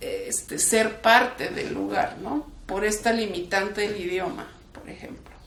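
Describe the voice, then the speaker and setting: With a Mexican accent, a woman speaks at a fairly high pitch amid noticeable background noise and audible room echo. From Mexico (left Kraków, Poland at 11). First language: Polish (speaking Spanish). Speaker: human rights defender. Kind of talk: interview. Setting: museum talk. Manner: casual, with frequent fillers.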